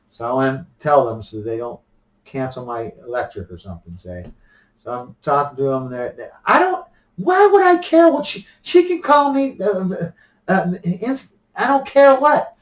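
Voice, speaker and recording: Big swings in loudness mark this man's speech, which runs at a fairly slow pace. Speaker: vlogger. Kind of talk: opinion monologue. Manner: halting with frequent repetitions; soft-spoken.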